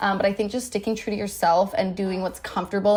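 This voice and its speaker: A woman speaks in a medium pitch with a Canadian accent. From Vancouver, Canada. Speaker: influencer and brand founder. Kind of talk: casual podcast interview. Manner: stumbles over words.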